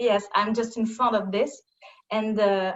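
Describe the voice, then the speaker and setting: A woman speaks with a French accent. Her pitch is fairly high. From France. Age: 30s. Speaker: yoga student. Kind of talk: casual chat. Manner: halting.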